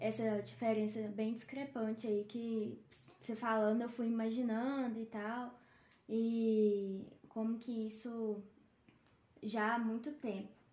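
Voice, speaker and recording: Speaking at a very slow pace, a woman with a fairly high pitch is heard with audible room echo. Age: 20s. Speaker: veterinarian. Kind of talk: casual chat. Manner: halting, many fillers.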